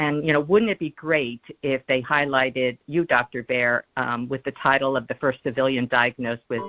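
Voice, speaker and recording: A woman with a very deep, low pitch and ordinary pitch variation, hardly pausing, music in the background. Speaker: caller. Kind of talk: call-in question to guest. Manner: fast; hesitant, many fillers.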